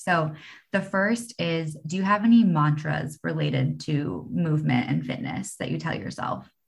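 A woman speaks in a very deep, low pitch. Vocal fry runs through her voice. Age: 20s. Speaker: podcast host. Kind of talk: interview.

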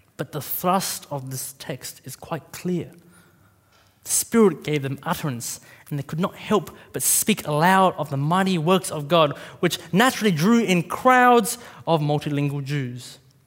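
Delivered at a fairly slow pace in an Australian accent, the speech has lively intonation and big swings in loudness, recorded very cleanly against a silent background. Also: man, fairly high pitch for a man. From Australia, Vietnamese parents. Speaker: preacher. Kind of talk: sermon. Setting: church.

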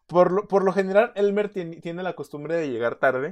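A man is speaking. He has a Mexican accent. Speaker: podcast co-host. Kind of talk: casual chat.

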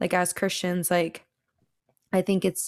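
Her voice is fairly low in pitch, and the woman has an American accent. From Washington State. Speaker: podcast co-host. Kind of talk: casual discussion.

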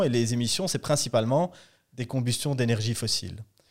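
At a fairly quick pace, a man speaks at a medium pitch in an ordinary speaking voice. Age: 30s. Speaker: political party director. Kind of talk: interview.

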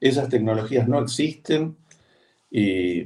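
A man's somewhat breathy voice carries a dark, mellow tone and ordinary pitch variation. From Argentina, Buenos Aires. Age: 60s. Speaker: veterinarian and agroecology farmer. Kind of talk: interview conversation.

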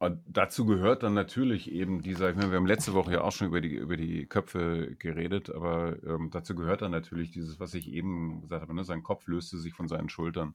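The speech comes at a very fast pace with fairly even intonation, on a very clean recording with a silent background. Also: man, very deep, low pitch for a man, hardly any pauses. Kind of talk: casual chat. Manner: halting, repeats words.

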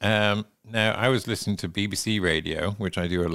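Someone with a West Country accent talks at a fairly quick pace. The recording is very clean, with a silent background. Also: man. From England. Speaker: podcast host. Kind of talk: casual chat.

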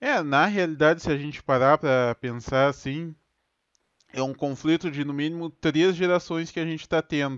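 In a dry, close recording with no echo and a quiet background, a man talks at a moderate pace in an unremarkable speaking voice, fairly high in pitch with ordinary pitch variation. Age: 30s. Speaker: podcast host, IT support public servant. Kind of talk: casual chat. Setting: home studio.

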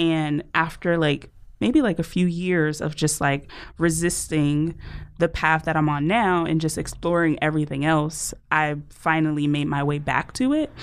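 A woman with an American accent speaks at a fairly slow pace in a very deep, low pitch, her intonation fairly even and her loudness very even, on a very clean recording with a silent background. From New Jersey. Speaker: podcast host, guest. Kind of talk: casual chat. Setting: studio.

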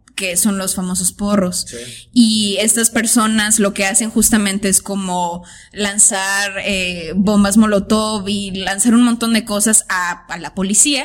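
A woman at a medium pitch speaks at a fairly slow pace with fairly even intonation. Her voice is somewhat breathy and shows big swings in loudness. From Tijuana, Mexico. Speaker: artist. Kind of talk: casual chat.

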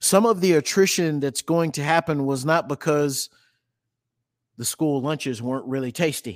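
Ordinary pitch variation marks this voice with an American accent, recorded very cleanly on a silent background with a dry, close sound and no echo. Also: man, moderate pace. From Texas. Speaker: educator, speaker and consultant. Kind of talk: interview conversation.

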